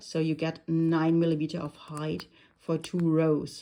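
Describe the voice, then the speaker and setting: A woman with a non-native accent, fairly low pitch and a dark, mellow tone, at a fairly slow pace. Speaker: crafter. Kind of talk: tutorial. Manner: hesitant, many fillers.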